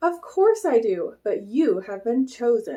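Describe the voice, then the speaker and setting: A put-on character voice is used. It moves at a fairly slow pace. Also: woman. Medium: read story. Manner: confident, bold.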